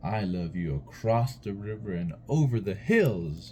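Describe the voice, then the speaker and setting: Over clear background noise, a man does a put-on character voice with fairly low pitch at a fairly slow pace. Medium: read story. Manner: gentle, affectionate.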